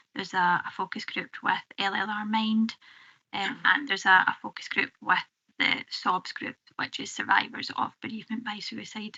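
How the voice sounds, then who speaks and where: This woman's voice sits fairly high, with a Scottish accent. Her intonation stays fairly even while her loudness swings widely. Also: moderate pace. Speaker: public health officer. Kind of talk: committee briefing. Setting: council committee room.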